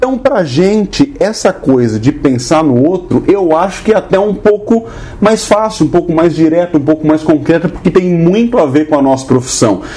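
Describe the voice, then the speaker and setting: A man with a high pitch speaks at a moderate pace with hardly any pauses, very wide pitch swings and very even loudness, over noticeable background noise. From Brazil, São Paulo city. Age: 30s. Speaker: podcast host, teacher. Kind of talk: casual chat.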